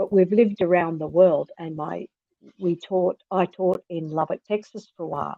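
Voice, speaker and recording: A woman's fairly low voice in an Australian accent, with big swings in loudness. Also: moderate pace. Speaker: author and reading educator. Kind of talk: interview conversation. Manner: animated.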